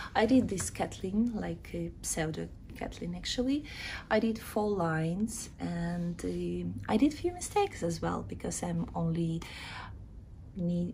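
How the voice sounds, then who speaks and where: With a Ukrainian accent, a woman speaks at a fairly slow pace amid audible room echo. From Ukraine. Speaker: knitting vlogger. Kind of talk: casual video chat, craft show-and-tell. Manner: halting, with filler sounds.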